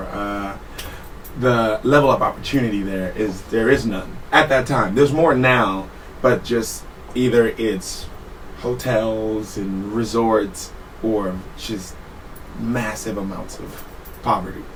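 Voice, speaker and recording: Amid noticeable background noise and audible room echo, a man with a fairly low voice and ordinary pitch variation speaks with long, frequent pauses and big swings in loudness. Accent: American. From Trinidad and Tobago, then San Francisco from age ten. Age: 30s. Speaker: podcast guest, Navy veteran. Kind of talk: casual chat.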